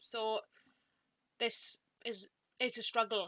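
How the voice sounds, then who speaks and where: A woman is speaking. She has a Welsh accent. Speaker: booktuber. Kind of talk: casual talk to camera, partly scripted. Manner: halting, repeated words. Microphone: some audio issues.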